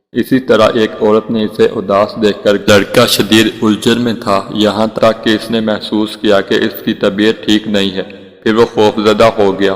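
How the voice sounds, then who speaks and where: A man's fairly low, monotone voice with flat intonation against noticeable background noise. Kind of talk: emotional Islamic story narration.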